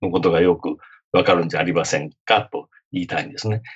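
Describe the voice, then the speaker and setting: Very fast and somewhat breathy, a man's speech races along. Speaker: lawyer and author. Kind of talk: interview.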